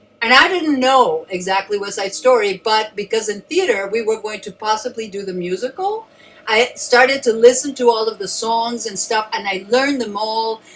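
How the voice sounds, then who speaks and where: Over music in the background, a woman with a fairly high voice and ordinary pitch variation speaks at a moderate pace with hardly any pauses. Her loudness swings in a big way. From Mexico City. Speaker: actress. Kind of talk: panel discussion. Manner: animated.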